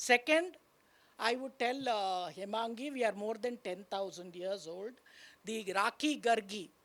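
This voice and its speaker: A woman with a Tamil accent and a fairly high pitch, ordinary pitch variation, on a very clean recording with a silent background. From Tamil Nadu, India. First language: Tamil (speaking Hindi). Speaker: university vice chancellor. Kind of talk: panel discussion talk.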